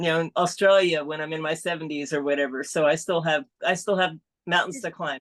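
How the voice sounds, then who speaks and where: A woman speaks at a fairly quick pace with a fairly low pitch and fairly even intonation. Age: 60s. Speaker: amateur triathlete. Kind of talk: interview on live stream. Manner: halting.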